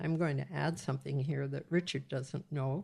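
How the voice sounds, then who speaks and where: There is vocal fry in this woman's voice. The recording is very clean, with a silent background. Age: 80s+. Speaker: retired social worker and mother. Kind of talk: podcast interview. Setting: home recording.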